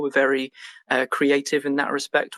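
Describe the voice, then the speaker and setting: The sound is dry and close, with no echo. A man with an English accent talks at a fairly quick pace in a fairly high pitch. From England. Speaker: game studio co-founder. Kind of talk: podcast interview. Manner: many filler words (um, uh).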